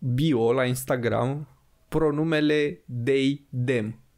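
The recording has a quiet background. A man talks with a fairly high pitch that varies in an ordinary way. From Romania. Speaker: podcast host. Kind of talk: casual chat. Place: studio. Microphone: studio mic.

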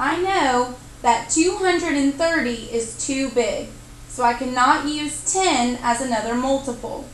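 Ordinary pitch variation from a woman's high-pitched voice, with noticeable background noise behind it. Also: fairly slow pace. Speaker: math teacher. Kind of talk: math tutorial narration.

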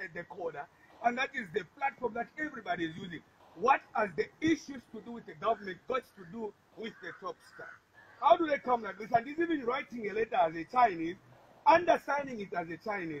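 A man speaks in a high, animated voice at a fairly quick pace. His pitch swings very widely and his loudness rises and falls in big swings. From Zambia. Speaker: opposition politician. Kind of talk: press statement. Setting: speaking to media reporters.

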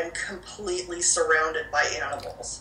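At a moderate pace, a woman talks with audible room echo and light background noise. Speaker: paranormal researcher. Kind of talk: interview answer. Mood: calm, reflective. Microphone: video call.

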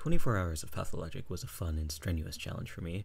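Very fast and somewhat breathy, a man speaks with a very deep, low pitch. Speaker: streamer, game commentator. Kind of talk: scripted video intro narration.

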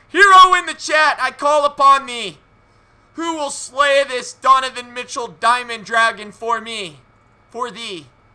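In a raised, projected voice with a bright, sharp tone, the speaker goes at a fairly slow pace, with lively intonation and big swings in loudness. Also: man, extremely high pitch for a man. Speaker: video game streamer. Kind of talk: live gaming stream commentary. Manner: animated. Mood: playful, mock-theatrical. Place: home room.

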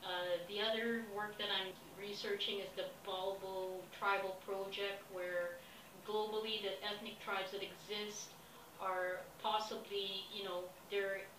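Noticeable background noise runs under this clip. A woman speaks at a fairly slow pace. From Philippines. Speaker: expedition applicant. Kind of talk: self-recorded application pitch. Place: home room. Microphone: webcam.

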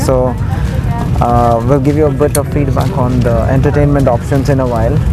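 Loud music plays in the background as a man speaks, the sound dry with no echo. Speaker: travel reviewer host. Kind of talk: casual vlog review commentary. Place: plane. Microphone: phone near.

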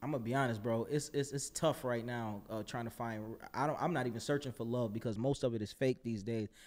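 A man with an American accent speaks at a very fast pace. His pitch is medium and his intonation fairly even. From Buffalo, New York; New York. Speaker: rapper and actor; actor. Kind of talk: casual interview chat. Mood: candid, reflective. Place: studio. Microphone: studio mic.

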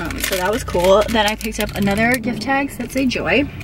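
A woman speaks with ordinary pitch variation. The sound is dry with no echo, and there is noticeable background noise. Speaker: vlogger. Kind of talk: casual vlog chat, haul. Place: car. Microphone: phone near.

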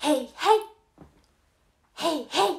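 This is a put-on character voice pitched high. It moves at a fairly quick pace. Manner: repeated shouted calls, comical.

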